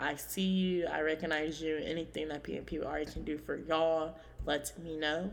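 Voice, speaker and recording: A woman's very deep, low voice with an American accent, fairly even intonation and audible room echo. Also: moderate pace. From California. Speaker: podcast host. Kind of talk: casual solo podcast monologue.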